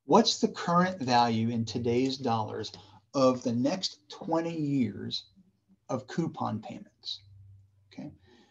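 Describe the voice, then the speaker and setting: In a Southern US accent, a man speaks at a medium pitch with lively intonation, big swings in loudness, long, frequent pauses and a somewhat breathy sound. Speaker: university professor. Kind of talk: lecture. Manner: casual, conversational.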